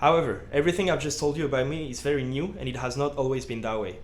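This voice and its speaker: Very fast and fairly high-pitched, a man with a slight French accent speaks with ordinary pitch variation amid audible room echo. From France, around Lyon. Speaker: student vlogger. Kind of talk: personal vlog monologue. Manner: casual, with many fillers.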